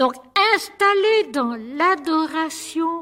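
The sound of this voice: Speaking slowly, a woman has a high pitch, a fairly bright tone and lively intonation.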